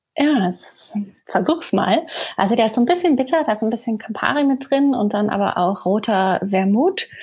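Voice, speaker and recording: A woman speaks at a fairly high pitch with lively intonation over noticeable background noise. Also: moderate pace. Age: 30s. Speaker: surgeon. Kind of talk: interview.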